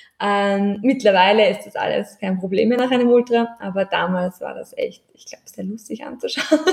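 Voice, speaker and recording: A fairly high-pitched, somewhat breathy woman's voice, with big swings in loudness and hardly any pauses. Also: ordinary pitch variation, moderate pace. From Austria. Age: 20s. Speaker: ultramarathon runner. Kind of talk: casual chat.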